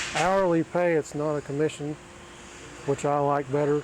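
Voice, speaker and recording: An American accent at a moderate pace, monotone and flat, with noticeable background noise. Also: man. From Oklahoma. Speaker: auto body technician. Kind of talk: interview. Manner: halting.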